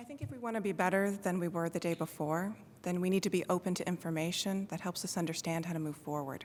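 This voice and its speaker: Soft-spoken and fairly low in pitch, a woman talks at a very fast pace with ordinary pitch variation, big swings in loudness, and long, frequent pauses. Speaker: judicial candidate, prosecutor. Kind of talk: candidate forum answer.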